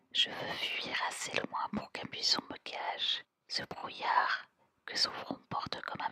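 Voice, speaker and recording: Whispering, a woman speaks at a very slow pace. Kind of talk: poetry reading. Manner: whispered.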